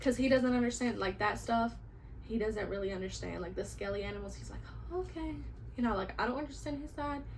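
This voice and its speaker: A woman races through her words very fast, her voice carrying audible room echo amid noticeable background noise. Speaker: vlogger and vintage reseller. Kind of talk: casual haul video. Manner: animated.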